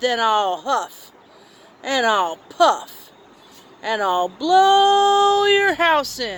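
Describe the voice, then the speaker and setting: A woman performs a put-on character voice at a high pitch. Her pitch swings very widely, and she speaks very slowly. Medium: read story.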